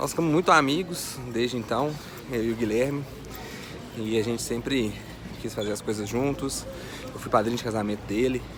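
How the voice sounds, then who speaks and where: A man talks at a moderate pace with long, frequent pauses. There is noticeable background noise and audible room echo. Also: medium pitch for a man, ordinary pitch variation. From Minas Gerais, Brazil (Vale do Aço). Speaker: online finance educator. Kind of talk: personal story vlog. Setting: airport VIP lounge. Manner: casual, conversational.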